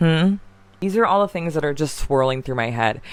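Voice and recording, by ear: A woman's low-pitched voice at a moderate pace with lively intonation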